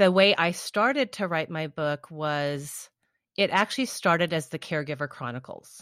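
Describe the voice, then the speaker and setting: A woman with an unremarkable speaking voice, fairly low in pitch, moderate in pace, lively in intonation, on a very clean recording with a silent background. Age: 50s. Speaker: author and life coach. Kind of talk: interview.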